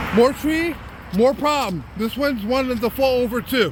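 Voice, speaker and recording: A man speaks loudly at an extremely high pitch with ordinary pitch variation. Noticeable background noise runs underneath. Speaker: citizen journalist. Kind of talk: walking vlog monologue. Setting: outdoors.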